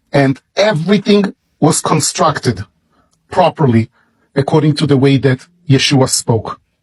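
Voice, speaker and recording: The speaker has an Israeli accent and a fairly slow pace. Long pauses come often. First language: Hebrew. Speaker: religious book promoter. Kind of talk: product presentation.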